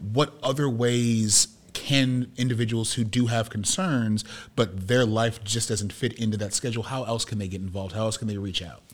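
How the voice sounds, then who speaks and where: An unremarkable speaking voice from a medium-pitched man with an American accent, moderate pace and ordinary pitch variation. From US Midwest. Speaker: podcast host and media producer. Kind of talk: interview before a live audience. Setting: room with live audience.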